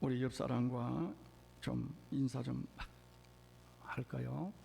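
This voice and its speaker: A man speaks at a very slow pace. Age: 70s. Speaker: senior pastor. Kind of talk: sermon. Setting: church.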